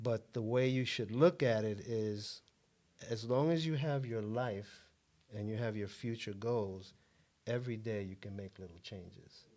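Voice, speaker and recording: An unremarkable speaking voice from a man, medium in pitch with ordinary variation, at a fairly slow pace. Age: 60s. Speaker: author and self-help guest. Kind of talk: interview.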